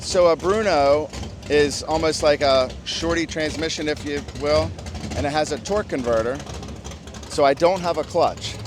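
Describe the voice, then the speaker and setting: Through noticeable background noise, a man talks at a moderate pace and fairly high pitch with ordinary pitch variation, taking long, frequent pauses. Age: 60s. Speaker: amateur drag racer. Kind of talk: casual interview.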